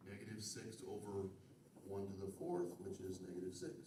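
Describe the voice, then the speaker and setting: In a room with audible echo, a man with a fairly low pitch talks with big swings in loudness. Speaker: college math instructor. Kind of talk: classroom lecture. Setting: classroom with students.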